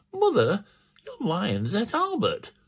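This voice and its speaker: A man's put-on character voice, raised and projected, at an extremely high pitch. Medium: solo performance. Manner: deadpan.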